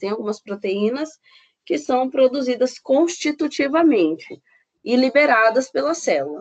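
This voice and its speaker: A high-pitched woman, fairly slow in pace, with lively intonation. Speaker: biochemistry professor. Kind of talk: lecture. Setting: recorded online class. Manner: halting, with fillers.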